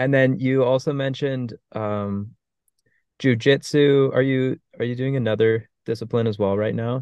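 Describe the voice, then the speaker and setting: A man with a normal speaking voice, medium pitch, fairly even intonation, and a moderate pace. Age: 20s. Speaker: podcast host. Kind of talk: casual chat.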